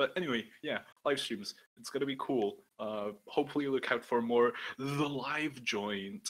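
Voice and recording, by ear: A man speaks at a moderate pace. His tone is fairly bright.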